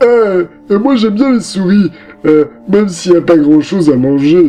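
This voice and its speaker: Using a put-on character voice, a man speaks at a high pitch and a moderate pace with faint music in the background. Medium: read story. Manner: slow, hesitant, with many "euh".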